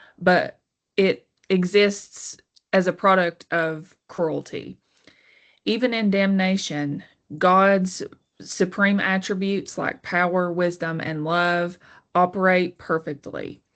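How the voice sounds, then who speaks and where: Against a quiet background, a woman with a Southern US accent speaks at a very slow pace in a monotone, flat intonation at a medium pitch. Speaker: college literature teacher. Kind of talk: educational lecture. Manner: slightly halting with self-corrections.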